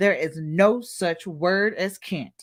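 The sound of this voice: Over a silent background in a very clean recording, a woman uses a raspy, put-on character voice at a medium pitch with ordinary pitch variation.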